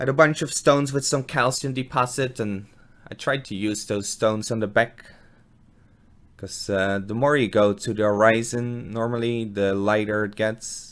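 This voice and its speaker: Speaking at a moderate pace, a man with a Dutch accent uses a medium pitch. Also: ordinary pitch variation. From Netherlands. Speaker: aquarium hobbyist, gardener. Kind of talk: voiceover narration of build. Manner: casual, hesitant with fillers.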